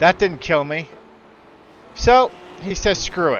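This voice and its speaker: Noticeable noise sits in the background. The speaker talks with an American accent. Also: man. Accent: New York accent when angry. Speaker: sim racing streamer. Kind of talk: gameplay commentary. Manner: animated.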